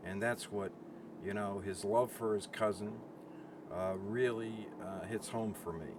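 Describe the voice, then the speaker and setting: A man speaks fairly slowly at a fairly low pitch with monotone, flat intonation. Noticeable background noise can be heard. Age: 70s. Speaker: Vietnam veteran. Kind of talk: interview. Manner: halting.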